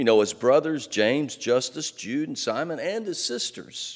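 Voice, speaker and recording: Over a quiet background, a man's speech unfolds at a fairly slow pace. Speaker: pastor preaching. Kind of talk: sermon. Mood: light humor then earnest. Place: church.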